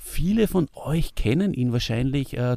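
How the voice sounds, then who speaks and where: The man speaks at a fairly high pitch in a very clean recording with a silent background. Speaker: podcast host. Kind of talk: casual chat.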